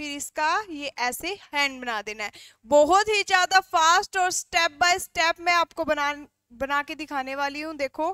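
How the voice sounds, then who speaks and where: A woman uses a raised, projected voice at a very slow pace with ordinary pitch variation, the sound dry with no echo and the background quiet. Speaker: drawing teacher. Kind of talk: tutorial. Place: studio. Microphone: headset.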